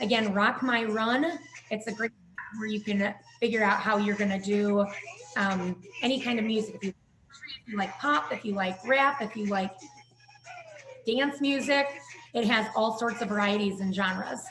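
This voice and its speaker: A woman with a fairly high pitch talks at a moderate pace with ordinary pitch variation and long, frequent pauses over noticeable background noise. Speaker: fitness instructor. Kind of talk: online fitness class instruction.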